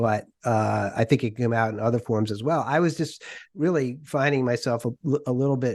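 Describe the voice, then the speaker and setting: Against a quiet background, a man with a plain, everyday voice and an American accent talks at a fairly quick pace, his medium pitch showing ordinary variation. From US Northeast, Worcester, Massachusetts. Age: 60s. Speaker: podcast host interviewing authors. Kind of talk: interview conversation.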